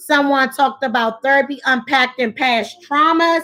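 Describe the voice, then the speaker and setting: A raised, projected voice with a bright, sharp tone moves at a moderate pace with ordinary pitch variation. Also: woman. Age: 40s. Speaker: live stream talk show host. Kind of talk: live stream discussion with chat. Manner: halting, repeats words.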